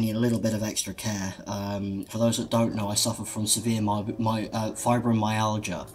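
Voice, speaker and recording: Over music in the background, a man with a British accent and medium pitch speaks at a moderate pace with fairly even intonation. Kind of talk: casual vlog. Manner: halting, many ums.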